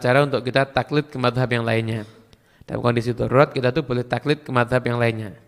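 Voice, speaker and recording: A man talks at a very fast pace with a medium pitch. His intonation is fairly even. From Madura, Indonesia. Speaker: Islamic preacher. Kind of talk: religious Q&A lecture.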